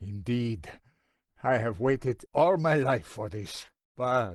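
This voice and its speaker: Against a quiet background, a man does a put-on character voice at medium pitch, with lively intonation and a fairly slow pace. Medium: video game. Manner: stern, proud.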